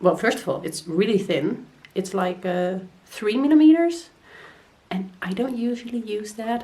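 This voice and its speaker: A somewhat breathy woman with a Dutch accent, fairly high in pitch, lively in intonation, at a fairly slow pace. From Netherlands. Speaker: crochet vlogger. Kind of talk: casual vlog.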